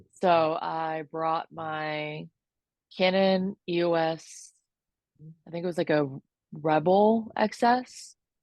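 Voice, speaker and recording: In an American accent, the speaker talks at a very slow pace with long, frequent pauses. The pitch varies in an ordinary way. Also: woman, fairly low pitch for a woman. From Florida. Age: 30s. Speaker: sports photographer. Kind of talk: podcast interview.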